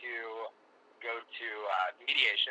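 A man speaks with an American accent. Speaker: father in custody case. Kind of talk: testimony. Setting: phone call.

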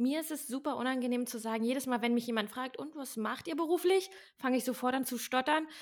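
Speaking at a fairly quick pace, a woman with a high pitch comes through on a very clean recording with a silent background. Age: 30s. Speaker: podcast co-host, fitness YouTuber. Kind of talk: casual chat.

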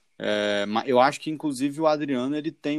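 A man speaks with a fairly high pitch in an unremarkable speaking voice. The sound is dry and close with no echo, and the recording is very clean over a silent background. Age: 20s. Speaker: football podcast host. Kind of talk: casual chat.

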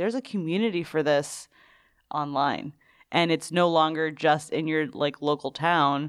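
This woman's voice has a very deep, low pitch. Its pitch varies in an ordinary way. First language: Spanish. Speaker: podcast co-host. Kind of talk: casual chat.

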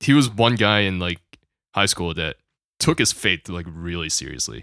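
At a moderate pace, a man speaks with a very deep, low pitch, a bright, sharp tone and lively intonation, the sound dry and close with no echo. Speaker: college student and sound engineer. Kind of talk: testimony. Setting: remote recording during self-isolation.

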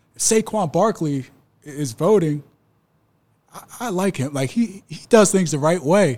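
Speaking in an American accent, a man with a high pitch uses lively intonation at a moderate pace. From US Northeast (South Jersey). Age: 30s. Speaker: former college football player. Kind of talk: interview. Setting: locker room. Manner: halting, frequent repetitions.

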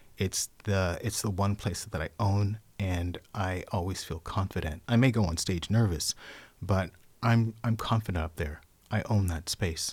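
In a very clean recording with a silent background, a somewhat breathy voice with an American accent keeps fairly even intonation. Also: man. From San Francisco, California. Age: 50s. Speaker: poet and performer. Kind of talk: casual interview chat.

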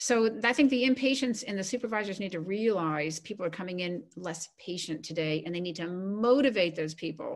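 In a plain, everyday voice, a woman with a medium pitch speaks at a fairly quick pace with lively intonation and hardly any pauses against a quiet background. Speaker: retired coast guard admiral and author. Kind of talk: interview.

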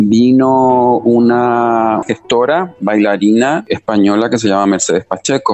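Background music accompanies this speaker. He is a man whose pitch sits fairly low. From Chile. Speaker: dancer and choreographer. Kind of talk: interview. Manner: hesitant, many fillers.

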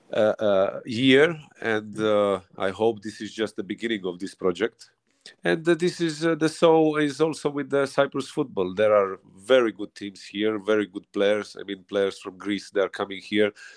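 At a moderate pace, a man speaks in a fairly low pitch with a dry, close sound, no echo and a quiet background. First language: not English. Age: young. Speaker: professional footballer, centre back. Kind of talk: interview.

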